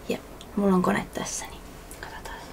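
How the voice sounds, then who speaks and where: Noticeable noise sits in the background. A woman whispers fairly slowly. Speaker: ASMR creator playing a nurse. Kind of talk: ASMR nurse roleplay. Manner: soft-spoken, whispering.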